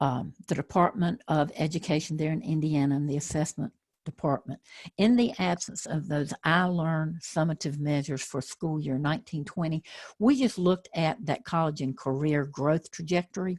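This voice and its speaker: In a Southern accent, a woman speaks at a moderate pace with a very deep, low pitch, ordinary pitch variation and a somewhat breathy quality. The sound is dry and close, with no echo. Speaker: educational trainer. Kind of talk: webinar presentation.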